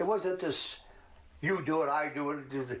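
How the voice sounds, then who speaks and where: A man speaks with a Philadelphia accent. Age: 80s+. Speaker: war veteran; interviewee. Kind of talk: interview. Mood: warm, reminiscing. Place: home room.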